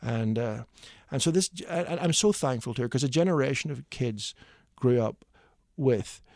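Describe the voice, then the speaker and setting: At a fairly quick pace, a man with a Northern Irish accent speaks with ordinary pitch variation in a very clean recording with a silent background. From Northern Ireland. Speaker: hymn writer. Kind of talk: radio interview. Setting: studio. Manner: animated; fast, stammering repeats.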